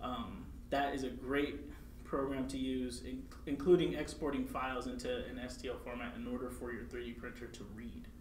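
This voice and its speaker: A man talks at a moderate pace, with audible room echo and light background noise. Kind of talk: tutorial. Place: meeting room.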